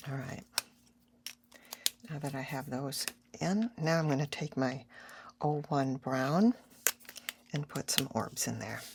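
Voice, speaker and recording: A woman with a very deep, low pitch speaks at a fairly slow pace, somewhat breathy, leaving long, frequent pauses. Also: ordinary pitch variation. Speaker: art tutorial creator. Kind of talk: tutorial. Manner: casual.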